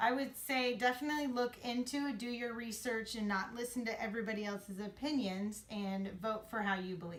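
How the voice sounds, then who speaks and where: A woman talks at a fairly quick pace with hardly any pauses. Her fairly high pitch has ordinary variation, over noticeable background noise. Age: 30s. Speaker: interviewee. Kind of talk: interview.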